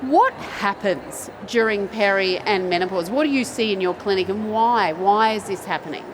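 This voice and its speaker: A woman at a medium pitch with ordinary pitch variation and hardly any pauses, noticeable background noise and audible room echo. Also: moderate pace. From Australia. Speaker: doctor and panel moderator. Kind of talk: panel discussion. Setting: stage with audience.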